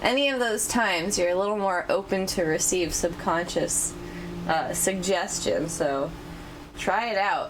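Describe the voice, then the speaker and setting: Noticeable background noise and audible room echo surround a woman at a medium pitch who speaks at a fairly slow pace, with ordinary pitch variation and very even loudness. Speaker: tarot reader. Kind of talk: tarot reading monologue. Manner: animated.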